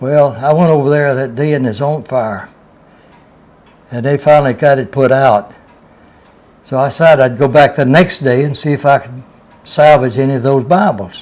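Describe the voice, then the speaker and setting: Speaking in a Southern US accent, a man with a fairly high pitch and ordinary pitch variation keeps a moderate pace broken by long, frequent pauses. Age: 80s+. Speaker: retired railroad worker. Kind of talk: storytelling.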